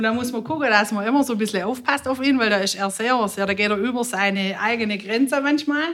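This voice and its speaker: A woman's fairly high voice at a very fast pace, with hardly any pauses and ordinary pitch variation. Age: 40s. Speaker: music club manager and clarinetist. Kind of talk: casual interview chat.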